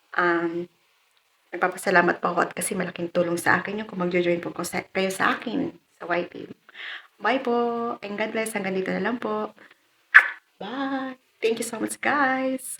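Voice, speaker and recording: Moderate-paced speech from a woman at a medium pitch, its pitch variation ordinary. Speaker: vlogger. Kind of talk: unboxing vlog. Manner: polite, informal.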